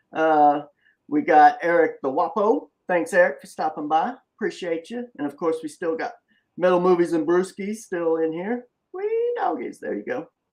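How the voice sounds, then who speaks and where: A man with a Southern US accent and lively intonation. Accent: deep South Southern drawl. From US Deep South. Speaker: comic creator and live show host. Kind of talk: casual live-stream interview. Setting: live stream with chat. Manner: lyrical.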